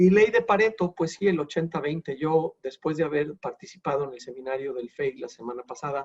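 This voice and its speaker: Hardly pausing, a man with a plain, everyday voice uses lively intonation at a fairly high pitch, in a dry, close sound with no echo. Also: fairly quick pace. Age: 60s. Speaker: wealth succession advisor. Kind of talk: lecture.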